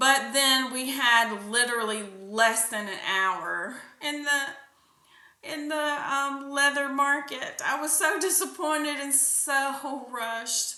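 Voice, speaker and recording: A woman with an American accent speaks in a raised, projected voice, high-pitched and bright, sharp in tone. She goes very slowly with ordinary pitch variation, and room echo is audible. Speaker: podcast host. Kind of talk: casual monologue.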